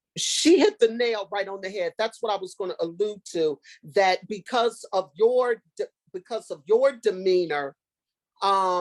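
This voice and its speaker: A woman with a normal speaking voice talks at a medium pitch and a fairly slow pace, with ordinary pitch variation. The recording is dry and close, with no echo. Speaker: former special education teacher. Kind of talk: workshop discussion.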